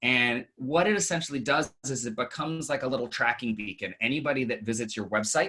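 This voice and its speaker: A man speaks at a fairly quick pace. His pitch is medium with ordinary pitch variation. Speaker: marketing panelist. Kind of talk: webinar presentation. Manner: fast.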